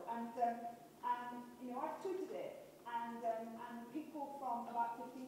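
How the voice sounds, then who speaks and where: Light background noise and strong room echo surround a woman speaking at a high pitch. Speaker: conference keynote speaker. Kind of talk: conference talk. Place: hall.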